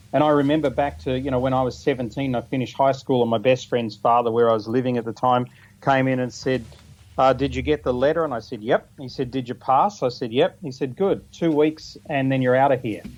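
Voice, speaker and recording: This man speaks in a New Zealand accent at a fairly quick pace. His medium pitch shows ordinary variation. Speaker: business speaker, mastermind organiser. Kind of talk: radio interview.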